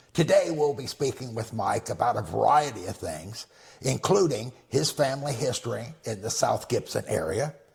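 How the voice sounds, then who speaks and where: A man with vocal fry speaks at medium pitch and a moderate pace, with lively intonation. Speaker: oral history interviewer. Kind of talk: interview introduction.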